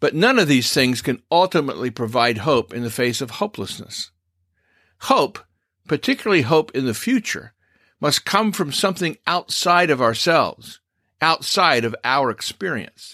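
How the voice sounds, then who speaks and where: With a bright, sharp tone and very wide pitch swings, a man speaks at a moderate pace in a fairly high pitch, the sound dry and close with no echo. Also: very clean recording, silent background. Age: old. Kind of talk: scripted commentary monologue.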